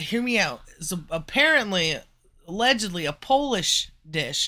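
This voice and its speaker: A man speaks fairly slowly in a high, raised, projected voice with a bright, sharp tone. His pitch swings very widely, on a very clean recording with a silent background. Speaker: live streamer. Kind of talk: casual chat. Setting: live stream. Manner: slurred, rambling delivery.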